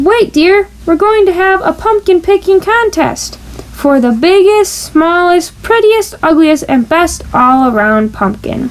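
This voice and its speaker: Someone uses a put-on character voice at a fairly slow pace. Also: woman, extremely high pitch for a woman. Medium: read story. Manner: warm, patient.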